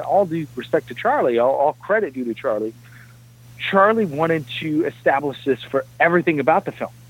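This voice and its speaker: A man has an ordinary speaking voice with an American accent. His pitch is fairly high and his intonation lively. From New Jersey, Jersey City. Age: 30s. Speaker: film composer. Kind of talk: interview.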